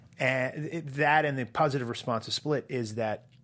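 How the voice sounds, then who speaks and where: A man with an American accent speaks in a plain, everyday voice at a medium pitch. His pace is moderate, his intonation fairly even, and the recording very clean with a silent background. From US Northeast (Portland, Maine). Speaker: entertainment columnist. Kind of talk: casual chat.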